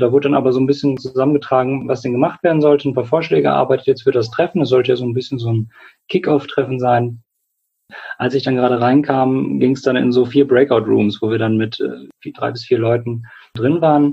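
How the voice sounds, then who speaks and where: Somewhat breathy delivery from a man at medium pitch, a fairly quick pace, fairly even intonation. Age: 20s. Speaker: clinical psychologist and climate activist. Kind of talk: interview.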